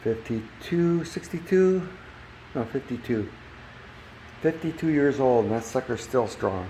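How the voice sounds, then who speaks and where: Over noticeable background noise, a man speaks at a very slow pace with lively intonation and a medium pitch. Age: 70s. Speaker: DIY reviewer. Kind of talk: casual product review walkthrough. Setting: outdoors. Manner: casual, thinking aloud with fillers.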